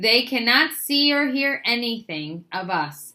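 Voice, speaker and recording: The speaker uses a put-on character voice and talks at a fairly slow pace. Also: woman. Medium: read story.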